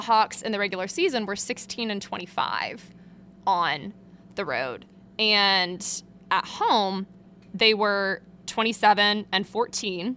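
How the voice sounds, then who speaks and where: A woman speaks loudly in a bright, sharp tone at a medium pitch. Her pace is fairly slow, broken by long, frequent pauses. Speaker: sports beat reporter and podcast host. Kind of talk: solo sports analysis podcast. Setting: back room at an arena, behind a curtain. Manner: loud, projecting; casual, filler-heavy.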